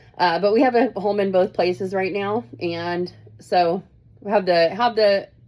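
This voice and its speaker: A woman speaks with an American accent. Her pitch is medium, with ordinary variation. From Kansas, US Midwest. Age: 40s. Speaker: student. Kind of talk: self-introduction video. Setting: at home in Florida. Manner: casual, halting with fillers.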